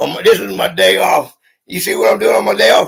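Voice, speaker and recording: A man with a Southern US accent speaks in an animated tone. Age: 50s. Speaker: YouTuber. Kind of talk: live stream.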